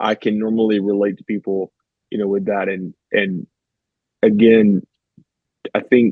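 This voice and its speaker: A man with a Southern US accent, fairly low in pitch, fairly slow, and with fairly even intonation. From US South, rural. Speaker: therapist. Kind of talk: interview conversation.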